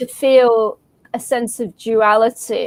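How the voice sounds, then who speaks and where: In an English accent, a woman speaks with a fairly high pitch. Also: dry, close sound with no echo. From England. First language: Arabic. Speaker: comics creator. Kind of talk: casual chat. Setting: live stream.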